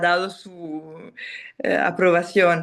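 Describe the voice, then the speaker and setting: A woman with a non-native accent, medium pitch and a very slow pace. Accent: non-native Spanish speaker. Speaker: film director. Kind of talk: interview. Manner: halting, many fillers and restarts.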